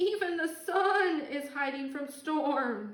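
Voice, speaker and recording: Using a put-on character voice, a woman speaks at a high pitch and a very slow pace. There is a slight echo. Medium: read story. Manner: stammering.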